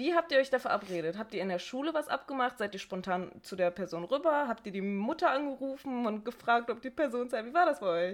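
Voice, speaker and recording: Very wide pitch swings mark this woman's fairly high voice as she talks at a fairly quick pace on a very clean recording with a silent background. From Bochum, Ruhr area, Germany. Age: 20s. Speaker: podcast co-host, teacher-training student. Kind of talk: casual chat.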